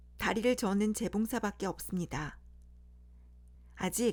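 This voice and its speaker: A somewhat breathy woman speaks at a fairly slow pace with ordinary pitch variation. The recording is very clean, with a silent background. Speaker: storyteller. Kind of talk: bedtime fairy tale reading. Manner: plain reading without character voices.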